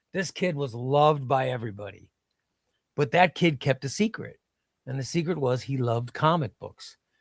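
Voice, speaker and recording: A man with a Midwestern US accent and fairly high pitch speaks at a moderate pace, sounding somewhat breathy. The sound is dry and close with no echo, and his pitch varies in an ordinary way. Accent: US Midwest. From Illinois (Chicago, then small downstate town). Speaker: comics streamer. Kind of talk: casual chat. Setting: live stream.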